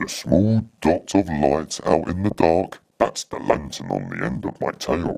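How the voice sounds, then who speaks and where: Putting on a character voice, a man speaks very deep and low at a fairly slow pace with hardly any pauses. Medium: read story.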